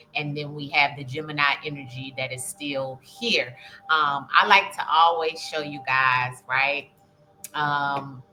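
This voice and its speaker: A woman with a very deep, low pitch speaks at a very slow pace with fairly even intonation. Her loudness swings widely, and music plays in the background. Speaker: spiritual reader, astrology channel host. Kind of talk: casual spiritual reading monologue. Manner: hesitant, many filler ums.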